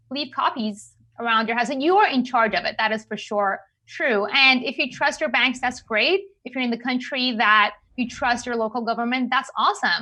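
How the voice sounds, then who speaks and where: A woman with a non-native accent speaks in a bright, sharp, high-pitched tone. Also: quiet background. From Iran. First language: not English. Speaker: cryptocurrency expert. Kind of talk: podcast interview.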